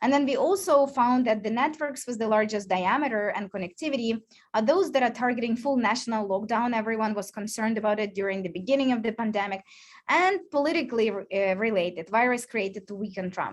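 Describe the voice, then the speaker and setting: A woman at a very fast pace, fairly high in pitch with ordinary pitch variation, against a quiet background. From Ukraine or Russian-speaking region. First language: Ukrainian and Russian. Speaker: research scientist. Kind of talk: lecture. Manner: hesitant, many fillers.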